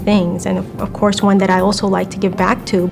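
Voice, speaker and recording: A woman speaks at a medium pitch with a Spanish accent and monotone, flat intonation. Music plays in the background. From Colombia, then New York City from age six. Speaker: scholarship alumna, development professional. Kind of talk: interview testimony.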